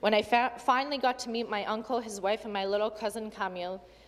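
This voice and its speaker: A woman with a Canadian accent and an ordinary speaking voice talks at a fairly quick pace, her fairly high pitch carrying fairly even intonation. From Ottawa, Canada (Polish immigrant from age four). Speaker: provincial legislator. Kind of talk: legislative speech. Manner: formal.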